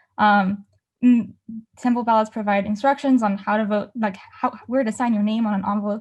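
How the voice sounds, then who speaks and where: A woman talks very fast in a somewhat breathy voice, with medium pitch and monotone, flat intonation. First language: not English. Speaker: student journalist. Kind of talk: presentation with slides. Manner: many fillers (um, like).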